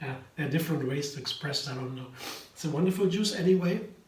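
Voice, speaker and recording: Speaking with a German accent and ordinary pitch variation, the voice comes through noticeable background noise and audible room echo. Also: man. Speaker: vegan cooking YouTuber. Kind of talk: casual tutorial. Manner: halting.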